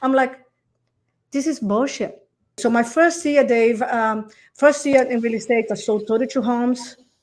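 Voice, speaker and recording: Her voice is high-pitched, with a non-native accent, a moderate pace and long, frequent pauses. The woman's pitch varies in an ordinary way, and the recording is very clean against a silent background. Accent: foreign. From Brazil. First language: Portuguese. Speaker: real estate coach. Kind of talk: podcast interview answer. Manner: excited, energetic.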